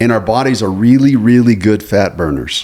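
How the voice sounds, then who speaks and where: Speaking at a moderate pace in an unremarkable speaking voice, the man keeps his pitch fairly low and varies it in an ordinary way. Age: 60s. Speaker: podcast co-host. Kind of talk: casual chat.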